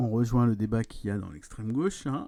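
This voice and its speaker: The speaker is a man. A dark, mellow tone colors his voice. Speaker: streamer reading and commenting a political book. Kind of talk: reading aloud with commentary, live stream.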